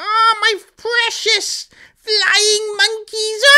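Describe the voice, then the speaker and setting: Cackling in a put-on character voice, this female-sounding voice sits at an extremely high pitch with monotone, flat intonation. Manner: theatrical, shrill.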